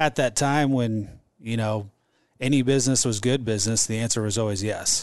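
Medium-pitched male speech at a fairly quick pace, fairly even in intonation, against a quiet background. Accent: Midwestern American. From Omaha, Nebraska, US Midwest. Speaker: entrepreneur and franchise owner. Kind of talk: casual interview.

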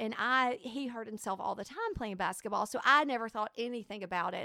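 A fairly high-pitched woman with a Southern US accent, ordinary pitch variation, and a moderate pace over noticeable background noise. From Alabama. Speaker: ministry leader. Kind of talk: testimony. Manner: loud.

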